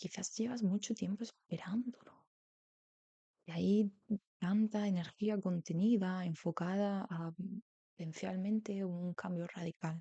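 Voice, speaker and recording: Dry and close with no echo, a woman's medium-pitched voice comes at a fairly slow pace, calm, dark and mellow in tone, somewhat breathy, with fairly even intonation. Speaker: tarot reader. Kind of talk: tarot reading, soft-spoken ASMR style. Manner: soft-spoken, calm.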